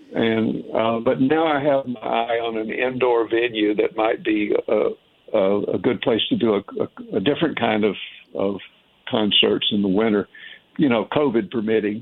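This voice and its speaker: A man with a Southern US accent speaks at a fairly slow pace with ordinary pitch variation. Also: medium pitch for a man. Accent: Southern US twang. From Tennessee, US South. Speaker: jazz saxophonist. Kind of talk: radio interview. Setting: phone call.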